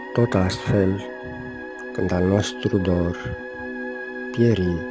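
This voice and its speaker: Music plays in the background as the speaker talks at a very slow pace with lively intonation. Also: man, very deep, low pitch for a man. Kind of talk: poetry reading.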